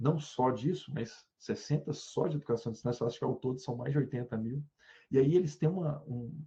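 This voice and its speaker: Fairly high in pitch, a man speaks at a fairly quick pace with a dark, mellow tone, a somewhat breathy quality and ordinary pitch variation. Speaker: university professor. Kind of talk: lecture. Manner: animated.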